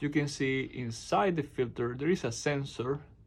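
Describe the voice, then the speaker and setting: A man talks with a Spanish accent. His pitch sits fairly high. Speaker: appliance repair technician. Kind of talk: tutorial. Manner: halting.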